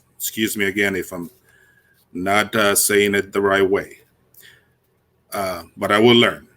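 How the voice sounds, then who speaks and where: A man talks at a fairly slow pace in a bright, sharp tone. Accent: Spanish. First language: Spanish. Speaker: conference emcee. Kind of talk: speaker introduction.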